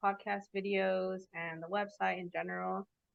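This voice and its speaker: A woman speaks with a Californian accent at a medium pitch. Her pace is fairly slow. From Los Angeles, California. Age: 20s. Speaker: podcast host, engineer. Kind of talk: casual chat. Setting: video call.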